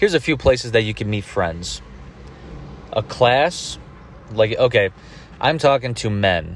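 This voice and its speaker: At a fairly slow pace, with long, frequent pauses, a man speaks in a somewhat breathy voice at medium pitch, his intonation lively. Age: 30s. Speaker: podcast host. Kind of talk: solo monologue. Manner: casual, profane.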